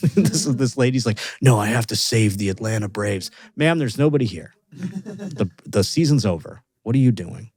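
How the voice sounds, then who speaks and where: Very wide pitch swings and a moderate pace from a somewhat breathy man. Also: medium pitch for a man. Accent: American. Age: 30s. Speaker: podcast host and stand-up comedian. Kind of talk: casual chat. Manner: animated.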